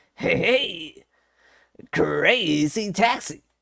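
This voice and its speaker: The voice is a put-on character voice with a fairly high pitch. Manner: loud, announcer-like.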